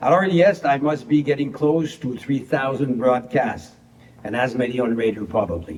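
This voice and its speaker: A man with a Quebec French accent talks at a moderate pace, his pitch varying in an ordinary way. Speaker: motorsport broadcaster and race driver. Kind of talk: prepared acceptance speech read aloud. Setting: pre-recorded video.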